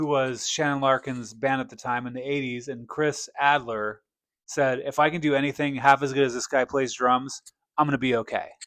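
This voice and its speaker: Over a quiet background, a man with a medium pitch talks at a moderate pace. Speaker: metal music podcast host. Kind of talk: casual chat. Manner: loud, projecting; animated.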